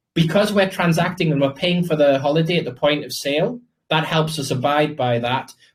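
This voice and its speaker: A man with a British accent talks at a fairly quick pace. His voice is somewhat breathy, with lively intonation. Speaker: crypto project founder. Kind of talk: interview Q&A. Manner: fast.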